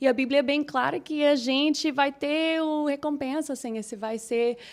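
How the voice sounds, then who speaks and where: This woman has a high pitch and fairly even intonation, talking at a moderate pace in a very clean recording with a silent background. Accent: American. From Minnesota, US Midwest. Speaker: English teacher, singer, pastor's wife. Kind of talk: casual chat. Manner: halting.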